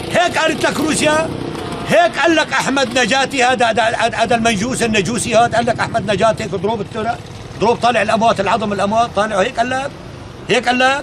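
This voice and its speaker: A man talks at a fairly quick pace with an extremely high pitch and ordinary pitch variation. Noticeable background noise is present. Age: 60s. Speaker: elderly villager. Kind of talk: angry tirade. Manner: animated.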